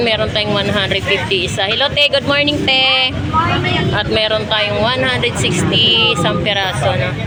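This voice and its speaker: A woman speaks at a medium pitch and a moderate pace, with lively intonation and very even loudness. There is audible room echo, with crowd noise in the background. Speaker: vlogger touring fish market. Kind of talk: market walkthrough vlog with vendor price checks. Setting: outdoors at fish market. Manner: casual, chatty, frequent tag 'no'.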